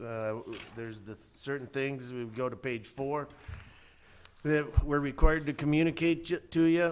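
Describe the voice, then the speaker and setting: Loud and fairly high-pitched, a man speaks at a moderate pace with long, frequent pauses. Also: ordinary pitch variation. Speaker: auditor. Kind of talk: presentation to a county board. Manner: casual, friendly.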